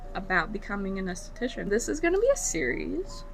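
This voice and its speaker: A woman's voice with audible room echo. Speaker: esthetician and beauty vlogger. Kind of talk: casual tutorial vlog. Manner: casual with many fillers.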